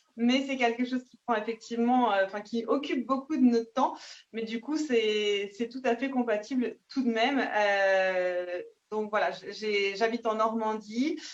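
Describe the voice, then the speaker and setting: Using an ordinary speaking voice, a woman talks at a fairly slow pace and fairly high pitch with ordinary pitch variation and big swings in loudness. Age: 30s. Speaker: nurse and network marketing seller. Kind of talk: self-introduction on video call. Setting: video call.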